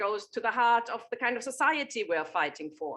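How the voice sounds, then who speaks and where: A woman with a German accent at a moderate pace. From Germany. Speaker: political activist and journalist. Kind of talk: panel talk at a political meeting. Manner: animated, with frequent fillers and repetitions.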